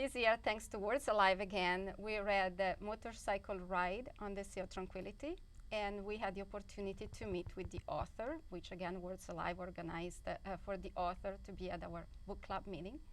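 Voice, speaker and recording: Speaking in an Italian accent at a fairly quick pace, a woman has a medium pitch and ordinary pitch variation. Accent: Italian accent (joking calls it Boston). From Italy. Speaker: high school teacher. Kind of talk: TV interview. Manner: halting.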